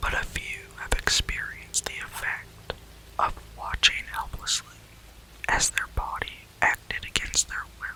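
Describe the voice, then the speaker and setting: A man whispers at a fairly slow pace in a calm tone. Noticeable background noise sits behind him. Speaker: ASMR reader. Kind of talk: ASMR story reading. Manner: soft-spoken, calm.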